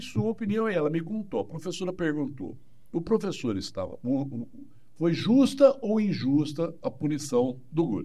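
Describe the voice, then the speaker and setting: This man's tone is dark and mellow. His pitch moves in very wide swings. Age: 60s. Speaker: psychologist. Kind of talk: interview. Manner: animated.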